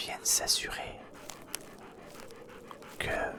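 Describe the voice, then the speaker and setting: The speaker whispers at a very slow pace. Noticeable background noise is present. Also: man. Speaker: ASMR creator. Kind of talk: ASMR horror story narration. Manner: soft, whispery, relaxing.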